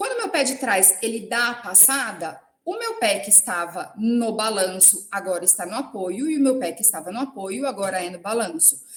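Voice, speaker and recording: A woman talks at a moderate pace with hardly any pauses, her fairly high pitch carrying lively intonation. Noticeable background noise sits behind her. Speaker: professor. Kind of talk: lecture.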